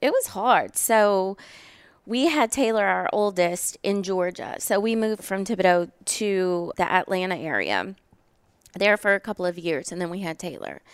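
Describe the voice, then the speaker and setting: The background is silent and the recording very clean. A woman talks in a Southern US accent. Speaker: podcast host. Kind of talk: casual chat. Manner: talkative.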